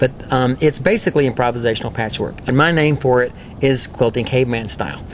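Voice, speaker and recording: The speaker has a Texas accent and ordinary pitch variation. The pace is very fast. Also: man, medium pitch for a man. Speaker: quilter and quilting teacher. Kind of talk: interview.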